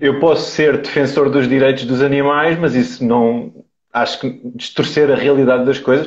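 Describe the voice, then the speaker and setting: A man of medium pitch speaks with a European Portuguese accent. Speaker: carnivore diet advocate. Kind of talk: live interview. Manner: hesitant, many fillers.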